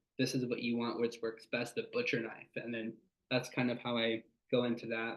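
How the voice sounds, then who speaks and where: A man speaks at a medium pitch. His pace is fairly quick. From California Central Valley. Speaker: sales rep. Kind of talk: workshop talk. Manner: fast.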